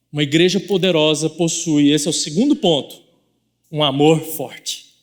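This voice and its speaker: A man with a Goiás accent talks at a moderate pace and a fairly high pitch. The recording is very clean, with a silent background. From Goiás, Brazil. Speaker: pastor. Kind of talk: sermon. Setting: church.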